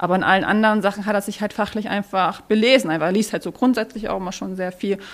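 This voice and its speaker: Speech moves at a very fast pace with fairly even intonation. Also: woman, medium pitch for a woman. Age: 30s. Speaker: social media presenter and expectant mother. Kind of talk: casual chat. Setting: live at a trade fair set.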